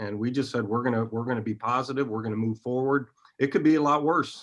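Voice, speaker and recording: A man with a Midwestern US accent, medium in pitch, with fairly even intonation. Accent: US Midwest. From Iowa. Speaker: college basketball coach. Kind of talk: interview.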